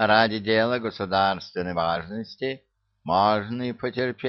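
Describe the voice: Against a quiet background, the voice does plain reading aloud with ordinary pitch variation.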